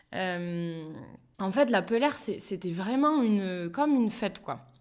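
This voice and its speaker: A plain, everyday voice at a fairly slow pace, with lively intonation. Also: woman. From Béarn, France. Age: 30s. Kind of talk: interview answer.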